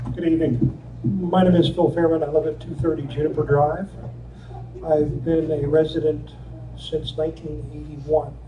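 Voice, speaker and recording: Noticeable background noise and audible room echo surround a man talking at a moderate speed. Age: 70s. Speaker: resident giving public comment. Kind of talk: public comment at township meeting. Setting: public meeting hall.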